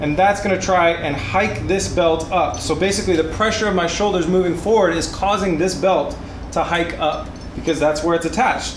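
A high-pitched man with noticeable background noise. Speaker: car build channel host. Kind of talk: tutorial. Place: garage.

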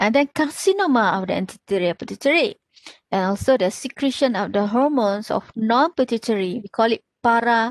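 In a Malaysian accent, a woman talks at a fairly quick pace and fairly high pitch with lively intonation, in a dry sound with no echo and a quiet background. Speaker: pathology lecturer. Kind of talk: lecture. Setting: video call. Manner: halting with many fillers. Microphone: webcam.

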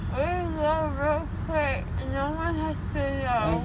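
Through loud background noise, a woman speaks at a very slow pace. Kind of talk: casual vlog chat. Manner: groggy, slurred post-surgery pleading. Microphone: phone near.

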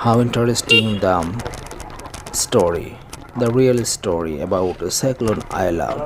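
The speech comes at a very slow pace. Background noise is noticeable. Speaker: vlogger. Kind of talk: casual vlog chat. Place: motorbike.

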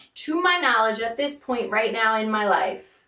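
A woman is heard with audible room echo. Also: quiet background. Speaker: spiritual coach vlogger. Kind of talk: casual vlog chat. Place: home room. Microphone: camera far.

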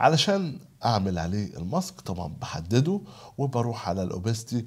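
A man speaks at a moderate pace, his pitch swinging very widely. The background is quiet. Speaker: video editing tutor. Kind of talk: tutorial. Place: home room.

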